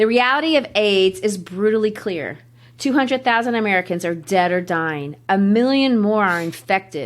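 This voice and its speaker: Over a silent background in a very clean recording, a woman with an unremarkable speaking voice talks at a moderate pace, her medium pitch carried by lively intonation. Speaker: literature teacher, podcast host. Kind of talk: reading a speech aloud.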